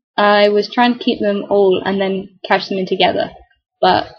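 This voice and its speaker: A somewhat breathy woman's voice at medium pitch. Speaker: gamer. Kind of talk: game commentary. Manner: casual, chatty. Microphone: laptop keyboard microphone.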